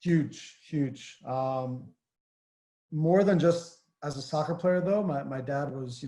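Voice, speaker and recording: The man talks at a moderate pace. His tone is dark and mellow, and somewhat breathy. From northern New Jersey, US. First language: Armenian. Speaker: former pro soccer player. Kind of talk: interview. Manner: hesitant, many fillers.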